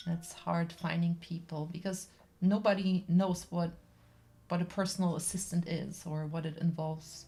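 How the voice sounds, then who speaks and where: A woman with a German accent speaks at a fairly low pitch in a dark, mellow, somewhat breathy tone with monotone, flat intonation. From Germany. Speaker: artist livestreamer and personal care assistant. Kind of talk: casual chat while painting on livestream. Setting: livestream. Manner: halting, with fillers.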